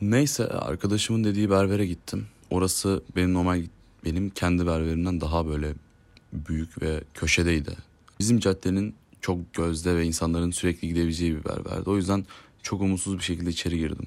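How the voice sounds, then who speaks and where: A man with a very deep, low voice speaks at a fairly quick pace on a very clean recording with a silent background. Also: ordinary pitch variation. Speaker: podcaster. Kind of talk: casual monologue. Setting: home at night. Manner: calm.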